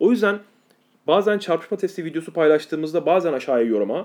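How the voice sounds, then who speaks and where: A man with a fairly high pitch, very wide pitch swings and a fairly quick pace. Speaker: podcast host. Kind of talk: casual chat. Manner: chatty, informal.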